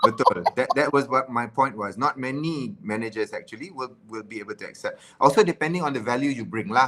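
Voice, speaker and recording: Bright and sharp in tone, the voice carries a Malaysian accent and moves at a fairly quick pace with hardly any pauses. Loudness swings widely, while pitch varies in an ordinary way. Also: man, medium pitch for a man. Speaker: live stream host. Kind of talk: casual chat. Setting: live stream.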